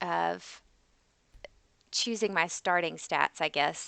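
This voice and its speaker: A woman speaks at a fairly slow pace against a quiet background. The sound is dry and close, with no echo. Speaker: gaming streamer. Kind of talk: live gameplay commentary. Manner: hesitant, many fillers.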